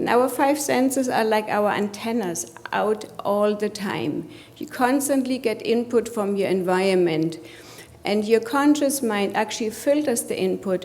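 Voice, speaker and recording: A woman with a German accent speaks fairly slowly at a fairly high pitch with lively intonation, with audible room echo and noticeable background noise. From Germany. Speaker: coach and healthcare executive. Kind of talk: conference presentation.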